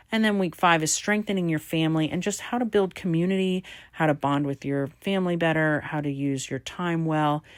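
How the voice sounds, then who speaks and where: On a very clean recording with a silent background, a woman with a very deep, low pitch talks fairly quickly in an upbeat tone with ordinary pitch variation. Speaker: homeschool educator presenting an app. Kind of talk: screen-share tutorial walkthrough. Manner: fast; casual, upbeat.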